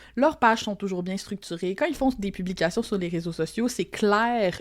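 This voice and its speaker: Over a silent background in a very clean recording, a woman talks at a moderate pace, medium pitch and ordinary pitch variation. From Quebec, Lac-Saint-Jean. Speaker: copywriter and teacher. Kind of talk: podcast interview. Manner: casual, many fillers.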